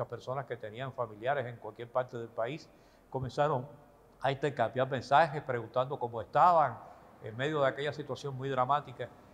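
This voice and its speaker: A man speaks fairly quickly, his somewhat breathy voice carrying fairly even intonation. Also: medium pitch for a man, big swings in loudness. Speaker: retired radio announcer telling his life story. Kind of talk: interview answer, recounting personal memories.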